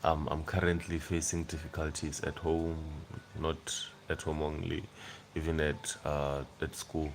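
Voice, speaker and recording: A man's very deep, low voice in a South African accent, monotone and flat at a fairly slow pace. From South Africa, Limpopo (Venda). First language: Venda. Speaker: YouTuber. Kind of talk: casual livestream chat. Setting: at home on a couch at night.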